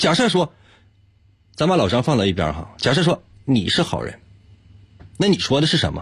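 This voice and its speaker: Fairly high-pitched man's voice with vocal fry and very wide pitch swings, moderate pace, long, frequent pauses, on a very clean recording with a silent background. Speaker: radio host running a puzzle segment. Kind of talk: casual chat with listeners, explaining logic puzzles. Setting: live-streamed broadcast.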